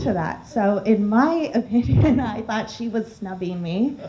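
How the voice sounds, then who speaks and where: A woman's medium-pitched voice over noticeable background noise. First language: Armenian. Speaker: alumna panelist. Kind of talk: panel discussion.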